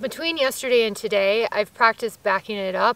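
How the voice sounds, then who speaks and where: Her tone bright and sharp, a woman speaks at a moderate pace with ordinary pitch variation, in a dry sound with no echo. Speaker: solo traveler vlogger. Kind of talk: casual vlog chat. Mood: reflective, candid. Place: forest.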